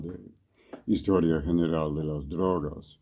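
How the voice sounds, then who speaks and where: His intonation holds fairly even. The man's pitch is very deep and low. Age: 70s. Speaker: ethnobotanist author. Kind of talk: interview. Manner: halting, with many fillers.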